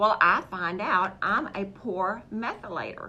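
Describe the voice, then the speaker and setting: A woman's voice has a bright, sharp tone. Audible room echo surrounds it. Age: 60s. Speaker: holistic health practitioner. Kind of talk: health talk show monologue. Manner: animated.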